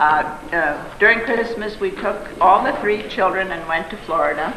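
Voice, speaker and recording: Noticeable background noise and audible room echo surround a woman at medium pitch. She speaks at a moderate pace with ordinary pitch variation. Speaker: Norwegian heritage group member. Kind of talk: storytelling.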